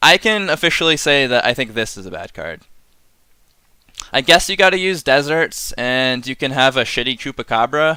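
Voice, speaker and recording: With an American accent, a man talks at a moderate pace in a bright, sharp tone, his intonation lively and his loudness swinging widely. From US Northeast (Massachusetts). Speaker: streamer, card game reviewer. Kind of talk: casual live-stream commentary. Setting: live stream. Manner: casual, filler-heavy with frequent ums.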